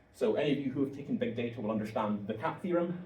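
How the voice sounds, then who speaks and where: A man's very fast, lively speech at a medium pitch, with noticeable background noise and audible room echo. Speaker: software engineer giving guest lecture. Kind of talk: lecture.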